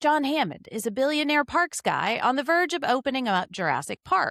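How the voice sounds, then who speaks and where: Animated in tone, a woman talks at a fairly quick pace with very wide pitch swings. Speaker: podcast host. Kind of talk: casual chat; movie synopsis narration.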